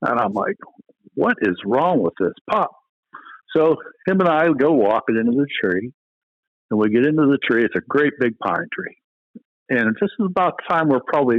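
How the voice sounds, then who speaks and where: A medium-pitched male voice with very wide pitch swings, a moderate pace and long, frequent pauses. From Pennsylvania. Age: 60s. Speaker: retired game warden. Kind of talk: casual interview chat. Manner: halting, repeats words.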